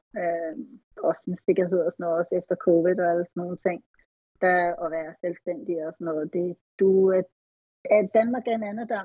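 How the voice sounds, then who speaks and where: Speaking at a moderate pace with long, frequent pauses, a woman with a fairly low pitch shows ordinary pitch variation. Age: 40s. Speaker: retired bodybuilding athlete. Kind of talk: casual interview.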